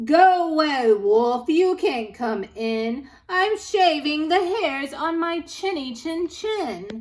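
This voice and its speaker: A woman shouts in a high-pitched put-on character voice at a very slow pace. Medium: read story. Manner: curt, shouting.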